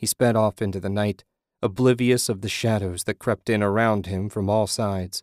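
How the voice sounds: Fairly even intonation in a natural reading voice, with a quiet background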